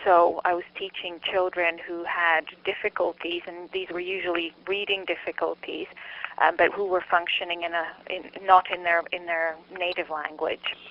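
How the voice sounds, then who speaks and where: A woman speaks at a moderate pace in a fairly low, flat monotone over noticeable background noise. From Montreal, Quebec, Canada. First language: Czech. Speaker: psychology researcher and lecturer. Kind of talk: interview. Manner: halting, many fillers.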